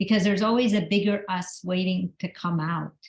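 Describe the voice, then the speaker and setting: Her voice comes out somewhat breathy. The woman shows ordinary pitch variation. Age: 60s. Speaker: author and motivational speaker. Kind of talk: motivational talk. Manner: animated.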